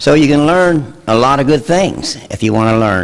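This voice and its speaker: A man's pitch swings very widely as he talks at a moderate pace. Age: 70s. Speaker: local resident giving public comment. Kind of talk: public comment at a township meeting.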